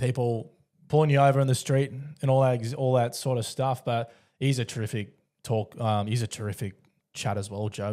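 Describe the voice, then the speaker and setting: Speaking with an Australian accent, a man has a dark, mellow tone, medium pitch, fairly even intonation and a fairly quick pace on a very clean recording with a silent background. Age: 20s. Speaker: podcast host. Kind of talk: casual interview chat.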